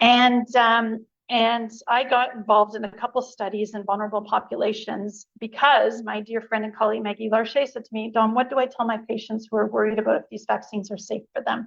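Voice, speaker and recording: Delivered at a fairly quick pace, the speech has flat, monotone intonation and big swings in loudness. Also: woman, fairly high pitch for a woman. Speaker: immunology researcher and lecturer. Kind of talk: lecture. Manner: fast.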